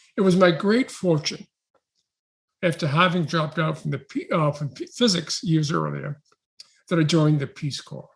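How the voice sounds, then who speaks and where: With an American accent, a man talks in a high voice. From New York City. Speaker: education researcher.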